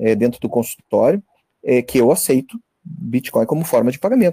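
Pitch rises and falls very widely here. The tone is dark and mellow. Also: man. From northern Santa Catarina, Brazil. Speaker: dentist. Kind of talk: casual chat. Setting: video call.

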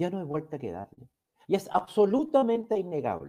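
A man's high-pitched voice with a dark, mellow tone, very wide pitch swings and a moderate pace. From Chile. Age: old. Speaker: YouTube talk show host, lawyer. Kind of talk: monologue to live chat audience. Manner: formal.

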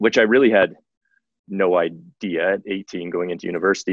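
A fairly quick pace with a Western Canadian accent. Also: man. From Canadian Prairies, Saskatoon. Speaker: tech company executive. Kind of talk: interview.

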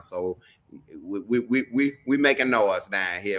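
A man speaks with a Southern US accent. His tone is bright and sharp. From Mississippi. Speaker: reality TV personality. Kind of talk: interview. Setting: video call.

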